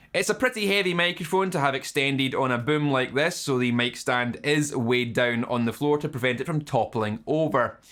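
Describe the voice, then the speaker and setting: A man with a Scottish accent speaks at a fairly quick pace in a fairly high pitch, with hardly any pauses, very even loudness and ordinary pitch variation. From Scotland. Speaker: YouTube guitar channel host. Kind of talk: scripted narration. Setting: home studio.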